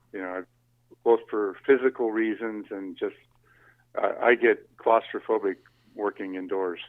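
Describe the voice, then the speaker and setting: A man with an American accent, at a moderate pace, with long, frequent pauses. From California. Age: 60s. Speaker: arborist. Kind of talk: casual chat. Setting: phone call.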